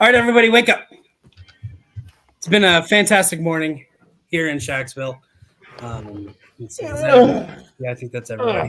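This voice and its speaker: A man puts on a raspy, high-pitched character voice with very wide pitch swings and big swings in loudness. He races along at a very fast pace, broken by long, frequent pauses. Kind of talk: playful game-master narration. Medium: game stream. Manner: casual, joking, filler-heavy.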